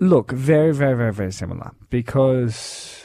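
The man talks with an Australian accent at a fairly slow pace. His medium-pitched voice shows ordinary pitch variation. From Darwin, Australia. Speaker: radio host. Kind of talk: breakfast radio banter.

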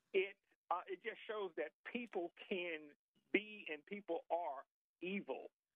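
At a very slow pace, a man speaks in a high pitch. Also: ordinary pitch variation. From Alabama. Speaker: caller. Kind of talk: phone-in question.

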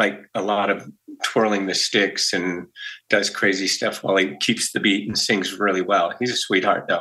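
This man talks at a moderate pace with an American accent. His fairly low voice has a bright, sharp tone. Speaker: musician. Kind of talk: interview. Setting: video call. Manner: jokey.

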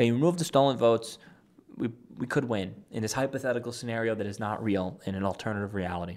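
An animated man with an American accent, medium pitch and ordinary pitch variation at a very fast pace, in a very clean recording with a silent background. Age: 20s. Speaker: political commentator. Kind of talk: political commentary monologue.

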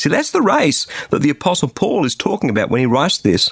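A man speaks with an Australian accent. The sound is dry and close, with no echo. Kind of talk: radio devotional message.

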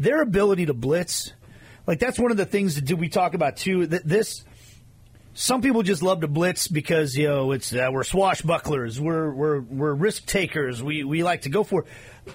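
This man has a normal speaking voice, fairly high in pitch. He talks at a moderate pace with lively intonation. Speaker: radio host. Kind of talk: sports talk radio show.

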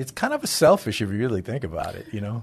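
With an American accent, a man speaks at medium pitch against a quiet background. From Honduras, then Brooklyn, New York. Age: 60s. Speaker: charity marketing director. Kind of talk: casual interview chat. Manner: halting, many fillers.

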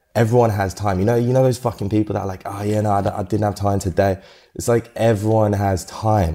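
A dark, mellow, monotone voice at a very fast pace, broken by long, frequent pauses, in a very clean recording with a silent background. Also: man. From UK. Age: 20s. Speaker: photographer. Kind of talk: interview.

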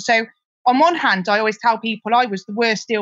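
Speaking at a fairly quick pace, a woman with a West Country accent shows ordinary pitch variation. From Gloucestershire, England. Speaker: property investor and sourcer. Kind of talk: casual interview.

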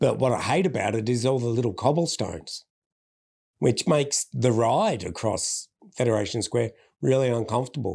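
A man speaks with an Australian accent at a medium pitch. The recording is very clean, with a silent background. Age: 40s. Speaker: public speaker and former chef. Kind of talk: interview conversation.

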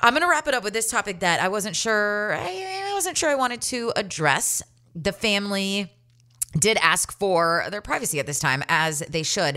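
Her voice has a bright, sharp tone and an animated tone, with lively intonation. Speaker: solo podcast host. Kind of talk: casual monologue.

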